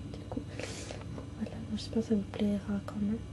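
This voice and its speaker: Behind noticeable background noise, a woman whispers in a soft-spoken way. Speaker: ASMR content creator. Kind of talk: casual talk to camera, product showcase. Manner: soft-spoken, whispered.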